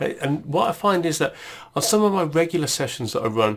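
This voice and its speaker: A man talks with an English Midlands accent. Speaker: tech tutorial presenter. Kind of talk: tutorial. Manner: casual, many fillers and restarts.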